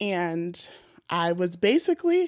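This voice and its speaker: A woman with an American accent speaks in an animated tone, recorded with a dry, close sound with no echo. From mixed US: North Carolina, South Jersey, Boston. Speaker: podcast host. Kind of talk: casual chat.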